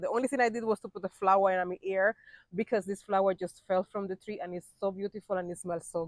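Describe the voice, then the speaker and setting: Her medium-pitched voice moving at a fairly quick pace, a woman speaks with fairly even intonation in a dry, close sound without echo. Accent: Spanish. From Cuba. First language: Spanish. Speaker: vlogger. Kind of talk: casual vlog talk to camera. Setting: outdoors in backyard.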